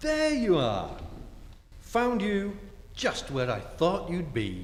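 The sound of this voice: A man puts on a character voice, high-pitched and swinging very widely in pitch, speaking slowly over faint background noise.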